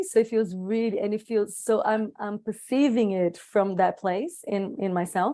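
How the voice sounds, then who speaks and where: In a Portuguese accent, a woman speaks at a fairly slow pace with a medium pitch and a dark, mellow tone. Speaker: circle participant. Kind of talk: reflective group sharing. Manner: halting, many restarts.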